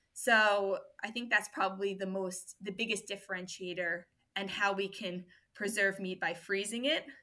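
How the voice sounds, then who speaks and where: At a moderate pace, a woman with a New York accent speaks in a medium pitch with fairly even intonation and a bright, sharp tone. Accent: New York American. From US, New York. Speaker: food business founder and mother. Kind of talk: podcast interview.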